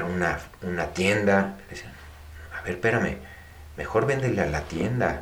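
Audible room echo surrounds the recording. A man speaks at a fairly low pitch with ordinary pitch variation. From Mexico. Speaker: finance executive and entrepreneur. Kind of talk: interview.

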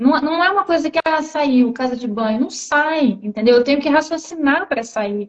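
Lively intonation and a moderate pace in a woman's high voice. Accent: Rio de Janeiro. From Brazil, Rio de Janeiro. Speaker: live stream host, interviewer. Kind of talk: casual interview on a social media live stream. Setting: social media live video stream.

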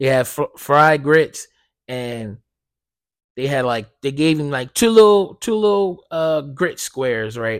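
A man speaks at a fairly slow pace in an animated tone with very wide pitch swings. The recording is very clean, with a silent background. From US Northeast (South Jersey). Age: 20s. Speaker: podcast host. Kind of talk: casual solo monologue.

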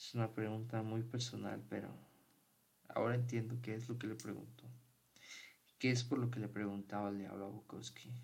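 A man's somewhat breathy, medium-pitched voice, flat and monotone, at a moderate pace with long, frequent pauses and audible room echo. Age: 20s. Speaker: podcast host. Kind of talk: casual monologue.

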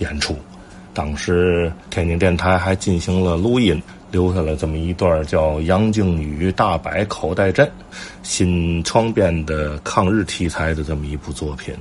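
A man with a very deep, low pitch talks at a fairly slow pace with ordinary pitch variation. Noticeable background noise is heard. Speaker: traditional folk-art enthusiast and commentator. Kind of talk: casual monologue.

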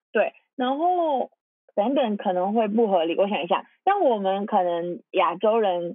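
At a fairly slow pace, a woman with an unremarkable speaking voice talks in a medium pitch with lively intonation. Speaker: podcast host. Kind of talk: casual chat.

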